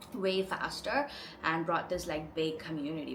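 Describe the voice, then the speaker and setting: A woman with an Indian accent speaks at a moderate pace and fairly low pitch, with audible room echo and noticeable background noise. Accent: Indian English accent, rolled R's. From India, Chennai. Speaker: lifestyle vlogger. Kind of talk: casual vlog talk to camera. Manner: chatty, lots of filler 'like'.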